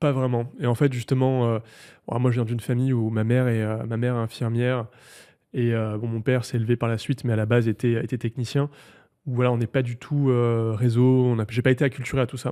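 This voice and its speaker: The recording is very clean, with a silent background. A man speaks in a dark, mellow tone with monotone, flat intonation. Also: medium pitch for a man, fairly quick pace. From southern France, Provence (near Marseille). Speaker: tech entrepreneur. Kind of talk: interview. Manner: hesitant, many fillers.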